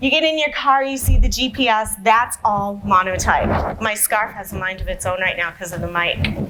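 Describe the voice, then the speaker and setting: A woman with an American accent in an animated tone, lively intonation and fairly high pitch, moderate pace with hardly any pauses, audible room echo and noticeable background noise. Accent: Massachusetts (Boston) accent, comes and goes. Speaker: sales enablement professional, conference speaker. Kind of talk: conference talk.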